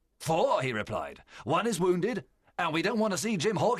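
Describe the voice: Someone reads the text aloud plainly.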